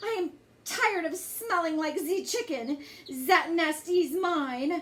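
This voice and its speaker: An extremely high put-on character voice from a woman at a fairly slow pace. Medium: read story. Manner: haughty.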